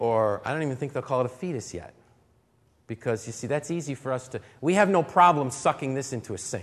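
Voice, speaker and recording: This is an unremarkable speaking voice, a man at medium pitch. He talks at a fairly quick pace with lively intonation. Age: 40s. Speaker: camp speaker, lay preacher. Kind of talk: sermon. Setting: talk to teenagers at a church camp.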